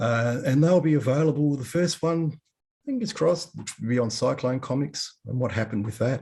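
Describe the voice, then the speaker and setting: With an Australian accent, a man speaks at a medium pitch and a moderate pace, in a dark, mellow tone. His voice is somewhat breathy, with ordinary pitch variation. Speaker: comics historian. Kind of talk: webinar talk. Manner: animated.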